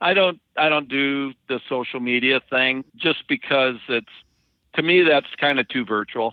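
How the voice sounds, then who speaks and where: A man with an American accent at a medium pitch, a fairly slow pace and ordinary pitch variation. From Dakotas, US Upper Midwest. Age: 60s. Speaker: truck driver. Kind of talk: casual interview. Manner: halting.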